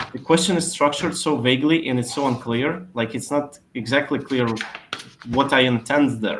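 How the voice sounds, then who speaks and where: Over noticeable background noise, a man with a non-native accent speaks at a moderate pace in a medium pitch with ordinary pitch variation. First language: not English. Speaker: SEO expert. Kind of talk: webinar Q&A.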